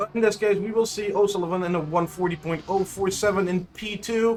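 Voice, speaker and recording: A man's voice with very wide pitch swings over noticeable background noise. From Netherlands. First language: Dutch. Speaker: sim racing commentator. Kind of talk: live commentary. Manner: halting.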